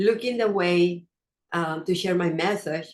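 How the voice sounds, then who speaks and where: A woman with a non-native accent at a fairly slow pace, her pitch medium with ordinary variation. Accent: non-native, noticeable pronunciation. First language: not English. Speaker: wellness coach and podcast host. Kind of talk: motivational talk. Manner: hesitant, with fillers.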